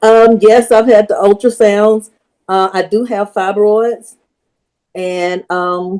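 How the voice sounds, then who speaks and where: A woman with a medium pitch and a dark, mellow tone talks at a very slow pace in monotone, flat intonation. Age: 60s. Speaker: audience member. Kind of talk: question from audience.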